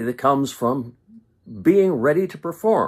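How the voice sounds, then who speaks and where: Slow-paced delivery comes from a man with an unremarkable speaking voice, his pitch varying in an ordinary way. The recording is very clean, with a silent background. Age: 60s. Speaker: pastor. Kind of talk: informal video devotional talk. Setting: live stream from home office. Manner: conversational with frequent filler words.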